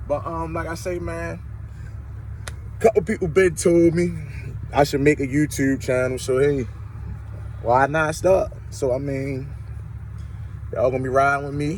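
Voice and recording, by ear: A man's fairly high voice, fairly slow with long, frequent pauses and fairly even intonation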